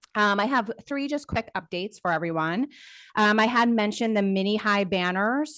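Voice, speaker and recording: A woman speaks against a quiet background. Her voice is fairly high, with ordinary pitch variation. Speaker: transit agency staff member giving updates. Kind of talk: public meeting update. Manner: fast.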